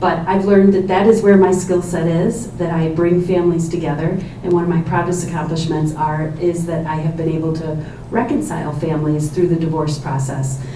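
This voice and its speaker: A woman with an American accent talks at a fairly quick pace in a fairly low voice with fairly even intonation, with noticeable background noise and audible room echo. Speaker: judicial candidate, family law attorney. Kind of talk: candidate opening statement at forum. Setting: public forum in library with microphone. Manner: loud.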